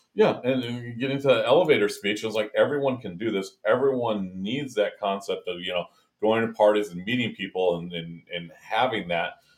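A man with a normal speaking voice at a medium pitch and a fairly quick pace, ordinary pitch variation, big swings in loudness and hardly any pauses. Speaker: podcast host. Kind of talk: casual chat.

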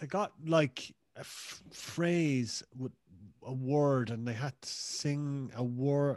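Speaking with a Cork accent at a very slow pace, a man uses a fairly high pitch and fairly even intonation, with big swings in loudness. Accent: Cork Irish. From Cork, Ireland. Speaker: podcast guest. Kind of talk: casual chat.

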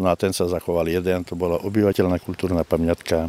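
A man with a dark, mellow tone speaks at a very deep, low pitch. His pace is fairly quick, and the sound is dry and close with no echo. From far eastern Slovakia, Nová Sedlica. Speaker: village mayor. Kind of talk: interview.

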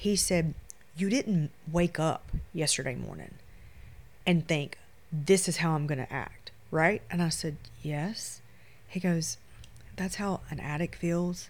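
A woman with a Louisiana accent speaks at a fairly low pitch. Her pace is very slow, with long, frequent pauses. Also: ordinary pitch variation. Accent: US Southern (Louisiana). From Shreveport, Louisiana. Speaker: photographer. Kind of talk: casual chat.

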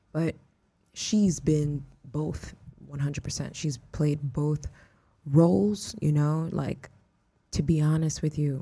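Speaking in an American accent, a woman has a very deep, low pitch and a dark, mellow tone that is somewhat breathy, with fairly even intonation. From Houston, Texas. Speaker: artist and viral internet personality. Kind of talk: casual chat.

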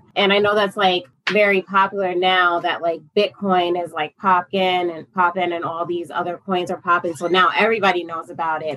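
A woman talks with an American accent. It's a normal speaking voice at a moderate pace. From upstate New York. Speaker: forex trader and parent. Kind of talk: casual interview chat.

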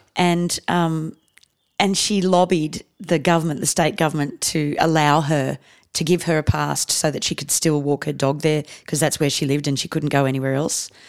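At a moderate pace, a woman speaks with a very deep, low pitch and fairly even intonation. The recording is very clean, with a silent background. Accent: Australian. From Australia, raised partly in India. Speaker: comedian. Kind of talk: casual chat.

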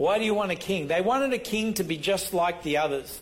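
A man with a high voice speaks in an Australian accent at a moderate pace. His pitch varies in an ordinary way, and audible room echo surrounds him. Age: 60s. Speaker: pastor. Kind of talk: sermon.

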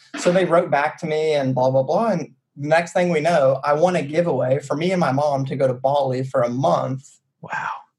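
A man speaks with an American accent at a moderate pace, his pitch fairly high. His voice is somewhat breathy, with ordinary pitch variation. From US South, Chattanooga, Tennessee. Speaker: startup co-founder. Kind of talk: casual interview chat. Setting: remote call.

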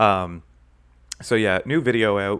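On a very clean recording with a silent background, a man speaks in a fairly low pitch with ordinary pitch variation. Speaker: podcast co-host, YouTube video essayist. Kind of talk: casual chat. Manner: puts on a mock radio voice at the start.

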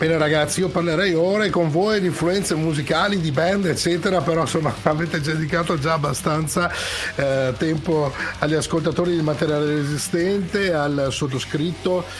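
An animated, energetic man with a fairly high pitch and very even loudness, amid noticeable background noise. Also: moderate pace. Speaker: radio host, hard rock and metal show. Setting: radio studio. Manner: animated, energetic, fluent broadcaster delivery.

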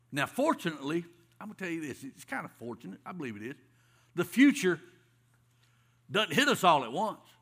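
Speaking at a fairly quick pace with long, frequent pauses, a man with a high voice swings very widely in pitch and loudness on a very clean recording with a silent background. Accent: Southern US. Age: 50s. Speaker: pastor. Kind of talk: sermon. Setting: church.

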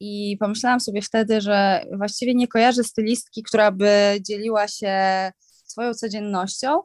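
In an ordinary speaking voice, a woman speaks at a moderate pace with a fairly high pitch and fairly even intonation. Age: 30s. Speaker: fashion stylist and influencer. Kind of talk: casual chat.

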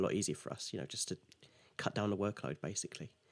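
A man talks with an English accent. The recording is very clean, with a silent background. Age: 20s. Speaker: app developer. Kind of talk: interview.

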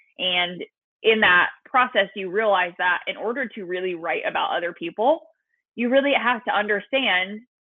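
Speaking at a fairly quick pace, a woman with a Californian accent uses a medium pitch and ordinary pitch variation. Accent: General American (California). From Southern California. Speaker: social media marketing coach. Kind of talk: podcast interview.

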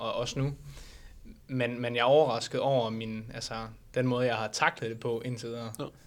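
At a fairly quick pace, a man talks with medium pitch. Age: 20s. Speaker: bodybuilding competitor. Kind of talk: casual interview. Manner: halting, many fillers.

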